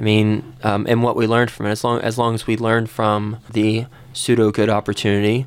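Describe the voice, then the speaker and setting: A man with an American accent talks in a plain, everyday voice. His pace is moderate and his intonation fairly even. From Texas, Fort Worth. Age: 30s. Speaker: real estate investor, entrepreneur. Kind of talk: radio interview.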